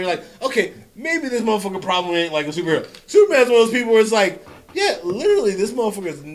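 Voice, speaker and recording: Amid noticeable background noise, a man talks at a very fast pace in a high voice with lively intonation. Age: 30s. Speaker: comic book podcast host. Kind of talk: casual chat.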